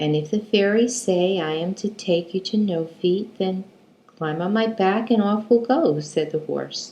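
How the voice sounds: A natural reading voice, its pitch rising and falling the usual amount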